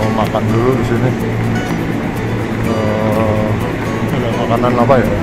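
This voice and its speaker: Music plays in the background as a man speaks, the sound dry with no echo. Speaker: travel vlogger. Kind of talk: casual vlog chat. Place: station. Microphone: phone near.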